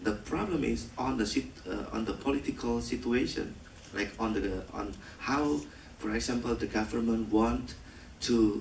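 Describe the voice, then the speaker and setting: Speaking at a moderate pace with an Indonesian accent, a man is heard with audible room echo and noticeable background noise. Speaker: film director. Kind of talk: post-screening Q&A. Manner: halting.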